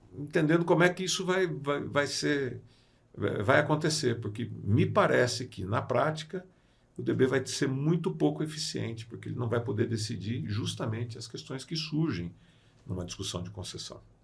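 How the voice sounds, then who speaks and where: Speaking at a moderate pace and medium pitch, a man with vocal fry makes very wide pitch swings and big swings in loudness. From Brazil, São Paulo state interior (Sorocaba). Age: 60s. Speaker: construction lawyer and arbitrator. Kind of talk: podcast interview. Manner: hesitant fillers (eh, né).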